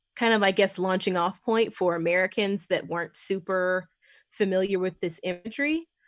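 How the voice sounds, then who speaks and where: A woman with a plain, everyday voice talks at a moderate pace and medium pitch, with fairly even intonation. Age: 30s. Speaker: horror writer. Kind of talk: casual chat.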